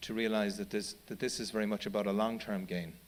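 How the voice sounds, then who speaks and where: A man talks with an Irish accent. His pace is fairly quick. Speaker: charity chief executive. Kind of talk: panel talk. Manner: halting, many repetitions.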